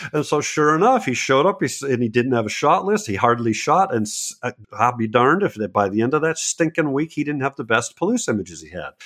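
A man talks at a very fast pace with hardly any pauses. His medium pitch swings very widely. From New England. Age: 60s. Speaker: landscape photographer. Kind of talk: interview conversation.

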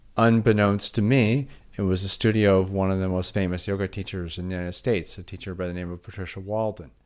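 A man with a Midwestern accent at a very fast pace, fairly low pitch and fairly even intonation, hardly any pauses, on a very clean recording with a silent background. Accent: American Midwestern. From US Midwest, Milwaukee. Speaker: physician and yoga therapist. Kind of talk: interview.

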